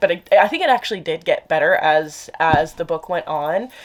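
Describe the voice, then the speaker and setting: A woman's voice with noticeable background noise. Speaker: book vlogger. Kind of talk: casual vlog chat. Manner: fast; trips over words.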